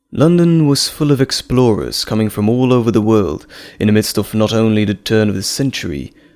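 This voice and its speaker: A man with a plain, everyday voice, medium pitch, lively intonation and a fairly quick pace. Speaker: voice actor. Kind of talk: audio drama narration.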